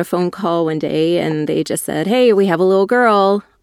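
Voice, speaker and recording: A woman's plain, everyday voice, fairly low in pitch, with ordinary pitch variation, a moderate pace and a dry, close sound with no echo. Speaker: business owner and belly dancer. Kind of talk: interview.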